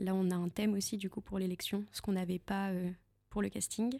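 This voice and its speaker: A woman speaks at a medium pitch with a dark, mellow tone and fairly even intonation, the sound dry and close with no echo. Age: 20s. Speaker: beauty pageant contestant. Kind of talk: interview. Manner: halting.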